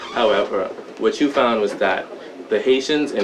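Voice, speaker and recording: A man speaks fairly quickly, with audible room echo and noticeable background noise behind him. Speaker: documentary interviewee. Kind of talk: interview testimony. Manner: hesitant.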